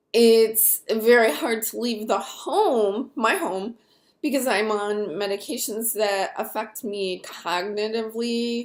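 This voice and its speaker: A woman speaks very slowly. Her pitch is fairly high. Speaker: vlogger with chronic nerve pain. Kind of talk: personal testimony vlog. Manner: hesitant, many fillers.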